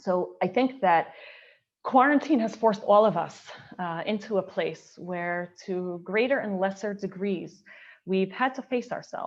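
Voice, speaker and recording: Against a quiet background, an unremarkable speaking voice moves at a fairly slow pace with ordinary pitch variation. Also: woman, medium pitch for a woman. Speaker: Orthodox woman speaker on mikveh. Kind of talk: panel talk / lecture.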